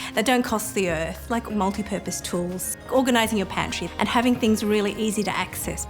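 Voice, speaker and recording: A woman talks at a fairly quick pace with music in the background. Her pitch is medium with ordinary variation. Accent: Australian. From Sydney, Australia. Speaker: food blogger. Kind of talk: casual talk to camera.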